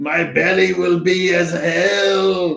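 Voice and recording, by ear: Putting on a character voice, a man speaks at a very slow pace in a high pitch.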